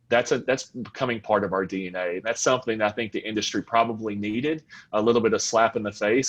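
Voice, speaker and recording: This man speaks with a Southern US accent at a fairly quick pace, over a quiet background. His pitch is medium, with ordinary variation. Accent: Southern American. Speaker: fuel retail executive. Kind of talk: panel discussion.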